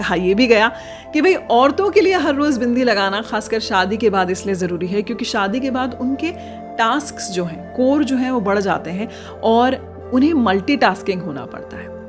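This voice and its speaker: With music in the background, a woman talks at a fairly high pitch using lively intonation. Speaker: former radio jockey. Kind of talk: informational podcast narration.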